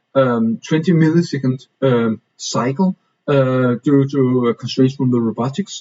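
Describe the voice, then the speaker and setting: A man's fairly high-pitched voice with ordinary pitch variation and a non-native accent. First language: not English. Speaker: reading group presenter. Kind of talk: presentation. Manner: halting, many fillers.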